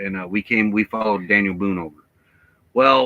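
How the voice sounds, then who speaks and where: A bright, sharp tone with an American accent, dry and close with no echo. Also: man. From Midwest US, born Chicago, raised by Southern family. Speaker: travel vlogger. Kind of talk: casual chat.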